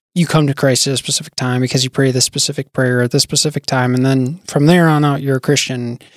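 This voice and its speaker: In a normal speaking voice with an American accent, the speaker comes across in a dry, close recording with no echo. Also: man. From US Midwest, North Dakota (Bismarck). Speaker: software engineer and church youth leader. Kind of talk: casual chat.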